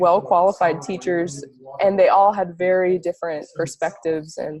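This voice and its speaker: A normal speaking voice at a fairly slow pace, with fairly even intonation. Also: woman. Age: 20s. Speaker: ayurveda student. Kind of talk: interview.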